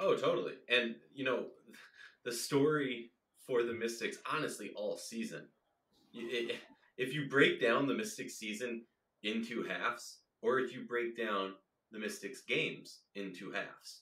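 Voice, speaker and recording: A man with an American accent speaks with long, frequent pauses. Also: fairly slow pace. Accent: Minnesota accent, comes out a little. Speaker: basketball podcast host. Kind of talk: casual sports discussion.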